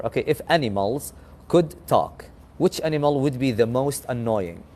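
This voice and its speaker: With an Arabic accent, a man speaks at a moderate pace in a fairly high, dark, mellow voice and lively intonation. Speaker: English conversation host. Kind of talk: casual chat.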